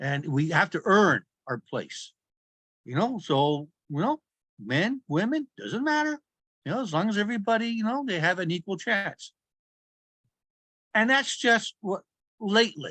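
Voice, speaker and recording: A man's high-pitched, raised, projected voice, bright and sharp in tone, with very wide pitch swings, long, frequent pauses and a dry, close sound with no echo. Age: 60s. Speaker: business consultant. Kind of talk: interview. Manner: halting.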